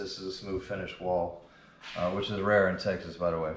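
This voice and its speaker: A man with an American accent talks at a moderate pace. There is audible room echo and noticeable background noise. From Louisiana, New Orleans. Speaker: drywall finisher and instructor. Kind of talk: tutorial. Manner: casual, with fillers.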